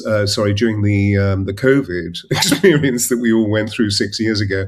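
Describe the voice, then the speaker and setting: A man's fairly low, somewhat breathy voice. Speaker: podcast host, voice coach. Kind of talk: podcast introduction.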